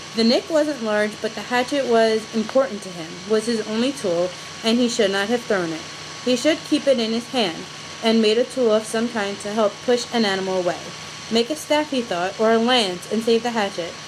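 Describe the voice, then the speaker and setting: Against noticeable background noise, a woman with an American accent speaks at a moderate pace, fairly high in pitch with ordinary pitch variation. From New York. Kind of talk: casual chat. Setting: video call. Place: home room. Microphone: video call.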